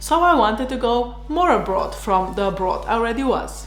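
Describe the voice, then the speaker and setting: A woman with a Slovenian accent speaks at a moderate pace, with audible room echo and noticeable background noise. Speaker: doctor and vlogger. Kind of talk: personal vlog narration.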